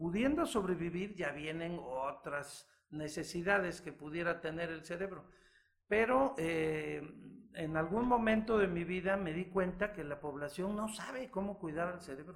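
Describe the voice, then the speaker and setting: This man has a high-pitched voice with ordinary pitch variation. He speaks at a fairly slow pace. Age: 60s. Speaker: physician and author. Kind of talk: interview.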